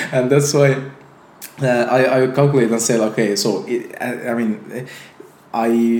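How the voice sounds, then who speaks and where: A man talks at a medium pitch with fairly even intonation. Long, frequent pauses break up his speech over noticeable background noise. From Azerbaijan. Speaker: entrepreneur and YouTuber. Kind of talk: casual interview conversation. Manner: halting, many fillers.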